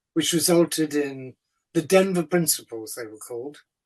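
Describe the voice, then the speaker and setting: A man with an English accent speaks with a fairly high pitch. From England. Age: 70s. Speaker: writer and activist. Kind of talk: answering questions in a talk. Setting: video call.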